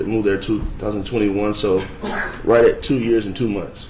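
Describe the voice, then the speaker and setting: A man talks at a medium pitch. Audible room echo and noticeable background noise are present. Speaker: trial witness. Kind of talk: testimony. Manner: fast.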